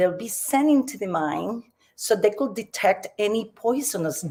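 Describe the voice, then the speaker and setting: A woman speaks with a Puerto Rican accent. Her pitch swings very widely. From Puerto Rico. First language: Spanish. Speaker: community speaker. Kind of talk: personal storytelling talk. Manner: halting, with fillers.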